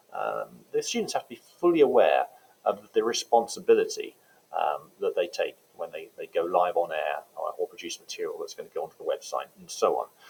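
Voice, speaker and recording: This is a man with a London accent. His loudness swings widely. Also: fairly quick pace. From England, London. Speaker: teacher. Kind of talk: informational talk. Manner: hesitant, many fillers.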